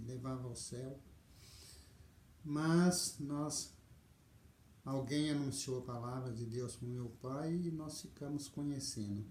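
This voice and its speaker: A man speaks fairly slowly at a medium pitch, his tone dark, mellow and somewhat breathy. His intonation stays fairly even, and room echo is audible. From Brazil, interior of Paraná near Londrina. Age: 60s. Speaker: video storyteller. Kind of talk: life story testimony. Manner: hesitant, with fillers.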